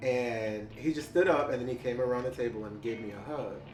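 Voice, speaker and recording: Music plays in the background. A man speaks at medium pitch with lively intonation. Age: 30s. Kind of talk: oral history interview answer. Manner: casual, hesitant.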